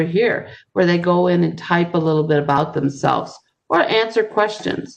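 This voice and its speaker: At a moderate pace, a woman speaks in a normal speaking voice with a fairly low pitch. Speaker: ESL teacher. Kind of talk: tutorial.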